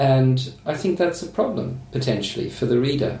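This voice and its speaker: Speech at a moderate pace with ordinary pitch variation, noticeable background noise and audible room echo. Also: man. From Australia. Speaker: novelist. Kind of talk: casual chat.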